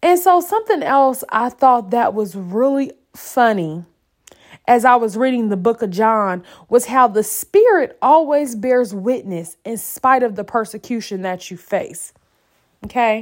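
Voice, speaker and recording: A woman with fairly high pitch, an animated tone and lively intonation, at a fairly slow pace. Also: very clean recording, silent background. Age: 30s. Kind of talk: faith devotional monologue.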